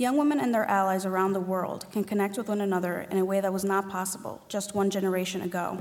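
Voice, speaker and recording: A woman at a very fast pace with hardly any pauses, fairly even intonation and audible room echo. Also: medium pitch for a woman, very even loudness. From New York City (Spanish Harlem). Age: 20s. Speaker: feminist activist. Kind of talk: panel discussion.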